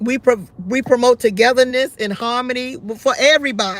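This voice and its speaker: A loud, high-pitched woman's voice at a moderate pace. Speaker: talk show host. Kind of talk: live call-in show.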